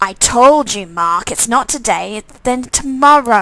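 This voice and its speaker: Using a put-on character voice, a woman speaks high and fairly slowly, with lively intonation and big swings in loudness. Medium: game stream. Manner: resentful.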